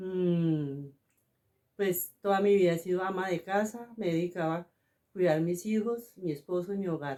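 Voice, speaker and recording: In an ordinary speaking voice, a woman talks at a fairly slow pace with a medium pitch and ordinary pitch variation. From Colombia. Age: 60s. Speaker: homemaker. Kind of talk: interview.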